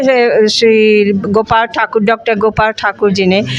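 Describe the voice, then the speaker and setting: A woman speaks with music in the background. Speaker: Bhojpuri scholar. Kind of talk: interview. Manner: halting.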